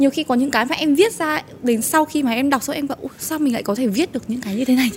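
A woman with a high pitch and ordinary pitch variation is heard over noticeable background noise. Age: 20s. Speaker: TikTok content creator. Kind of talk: casual chat.

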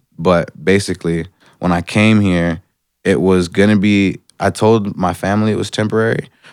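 A man with an Atlanta accent talks at a moderate pace with ordinary pitch variation, in a dry, close sound with no echo. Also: very clean recording, silent background. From Atlanta, US South. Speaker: rapper. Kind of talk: casual chat.

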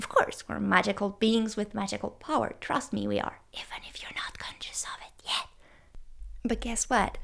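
A woman whispering at a moderate pace, with big swings in loudness. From France. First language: French. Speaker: family doctor and yoga teacher, podcast host. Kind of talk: scripted-sounding podcast intro and preview monologue.

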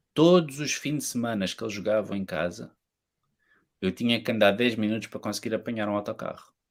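Ordinary pitch variation and a fairly quick pace, on a very clean recording with a silent background. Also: man. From Portugal. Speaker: podcast guest. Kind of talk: casual chat.

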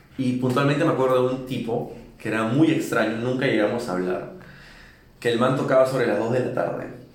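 Noticeable background noise and audible room echo fill the recording. The speech moves at a fairly quick pace with fairly even intonation. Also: man, medium pitch for a man. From Peru, Lima. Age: 20s. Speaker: musician. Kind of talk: interview.

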